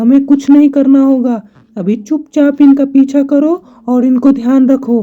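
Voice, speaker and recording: A cartoonish character voice with a high pitch talks at a fairly slow pace. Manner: earnest.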